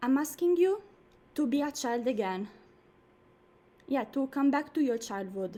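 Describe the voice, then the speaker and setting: With a non-native accent and lively intonation, the speaker keeps a moderate pace broken by long, frequent pauses. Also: woman, high pitch for a woman. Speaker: dancer and performance artist. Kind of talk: introduction to a live online performance. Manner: animated.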